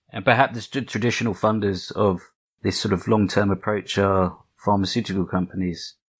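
A man with a normal speaking voice talks at a moderate pace with fairly even intonation. The recording is very clean with a silent background. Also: fairly low pitch for a man. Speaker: podcast host. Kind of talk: interview.

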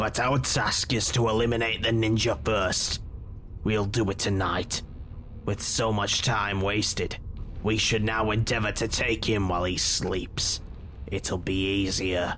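A man puts on a character voice with a hissing sound, fairly low pitch and a fairly slow pace over clear background noise. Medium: audio drama. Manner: cold, menacing, clipped.

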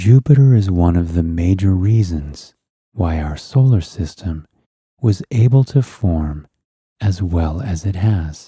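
A man's very deep, low voice, dark and mellow, somewhat breathy, with a soothing, calm tone, lively intonation, and a fairly slow pace. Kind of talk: guided relaxation and bedtime story narration. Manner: slow, hushed and soothing, gently lulling; calm, dreamy, unhurried pacing with soft, drifting delivery.

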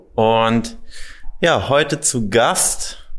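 With an unremarkable speaking voice, a man at medium pitch talks with lively intonation. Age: young. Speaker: weight loss coach. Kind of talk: interview.

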